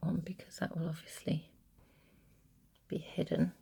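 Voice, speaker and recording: At a moderate pace, a woman speaks in a fairly low pitch with vocal fry and monotone, flat intonation. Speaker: sewing tutor. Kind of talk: tutorial.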